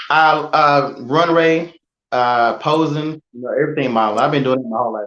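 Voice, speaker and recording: The voice shifts in loudness in big swings at a moderate pace. Its pitch varies in an ordinary way. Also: man, fairly high pitch for a man. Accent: Southern US. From North Carolina (Selma). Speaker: photographer and model trainer. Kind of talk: interview conversation. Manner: halting, with many fillers.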